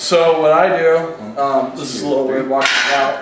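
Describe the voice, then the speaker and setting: Against noticeable background noise and audible room echo, a man is speaking. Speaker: powerlifting coach. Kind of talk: tutorial. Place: gym. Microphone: camera far.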